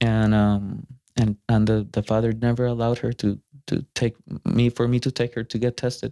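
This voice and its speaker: In a Spanish accent, a man speaks in a flat monotone with a dark, mellow tone, captured with a dry, close sound with no echo in a very clean recording with a silent background. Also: medium pitch for a man, moderate pace. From Costa Rica. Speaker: musician. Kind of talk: casual chat. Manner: halting.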